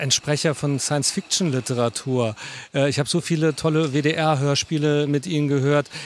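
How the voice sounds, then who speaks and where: This man's fairly high voice moves at a fairly quick pace with fairly even intonation, the sound dry and free of echo. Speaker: interviewer, magazine and channel host. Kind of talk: interview questions. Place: stage. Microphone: handheld.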